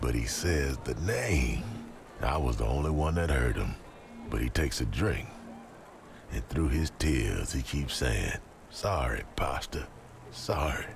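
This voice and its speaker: Amid clear background noise, a man uses a gruff put-on character voice with very deep, low pitch, a fairly slow pace and long, frequent pauses. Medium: game stream. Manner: slangy, gruff, conspiratorial.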